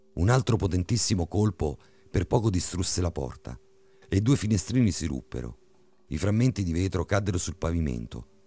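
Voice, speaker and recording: On a very clean recording with a silent background, a man speaks at a very deep, low pitch in a dark, mellow, dramatic, menacing tone, with vocal fry, very wide pitch swings and long, frequent pauses. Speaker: horror story narrator. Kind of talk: creepypasta horror narration, tense bedtime ghost story reading. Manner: dramatic, suspenseful, building menace with shifts into a menacing booming villain voice.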